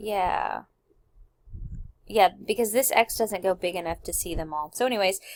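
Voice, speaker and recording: Captured in a very clean recording with a silent background, a woman with a normal speaking voice talks at a moderate pace with ordinary pitch variation. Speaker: math teacher. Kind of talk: tutorial. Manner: casual, filler-heavy.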